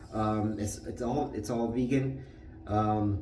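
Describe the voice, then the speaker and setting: A man's voice with ordinary pitch variation, set against noticeable background noise and audible room echo. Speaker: shaving video creator. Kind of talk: tutorial.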